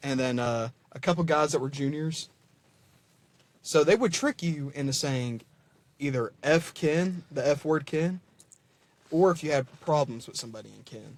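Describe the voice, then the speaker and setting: Pausing often and at length, a man speaks at a moderate pace with a fairly high pitch, ordinary pitch variation and big swings in loudness. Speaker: podcast co-host. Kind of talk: casual chat. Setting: video call.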